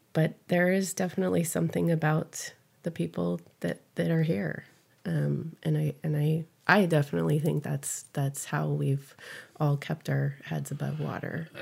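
Delivered at a moderate pace, the speech comes in a Californian accent. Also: woman. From US West Coast, San Fernando Valley, California. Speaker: community volunteer. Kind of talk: interview. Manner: halting, many fillers.

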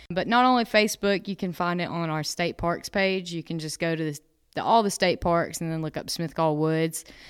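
In a Southern US accent, a woman talks at a fairly quick pace in a fairly low voice with ordinary pitch variation, recorded very cleanly against a silent background. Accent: Southern US (Georgia). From North Georgia, US (Dahlonega). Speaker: park naturalist. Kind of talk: interview. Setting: on location at a state park.

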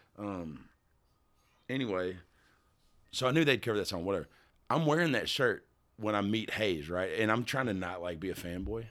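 A man with a Kentucky accent, fairly low in pitch, lively in intonation, with long, frequent pauses, on a very clean recording against a silent background. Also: moderate pace. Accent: Southern US (Kentucky). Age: 40s. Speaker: singer-songwriter. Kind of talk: casual chat. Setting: studio.

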